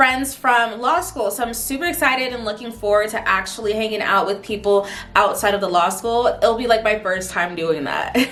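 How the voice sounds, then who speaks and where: A woman talks at a fairly quick pace. The room echo is audible and there is noticeable background noise. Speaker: vlogger and law student. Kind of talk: casual chat to camera. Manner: casual, chatty.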